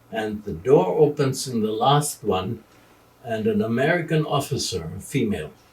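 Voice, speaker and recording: A man with a German accent speaks at medium pitch and a fairly slow pace. His pitch swings very widely, with vocal fry throughout. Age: 80s. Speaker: retired journalist. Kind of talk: interview. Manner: halting.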